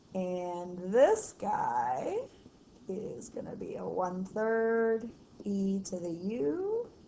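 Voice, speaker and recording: A woman speaks at a very slow pace with big swings in loudness, against noticeable background noise. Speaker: math teacher. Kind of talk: tutorial. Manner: casual, chatty.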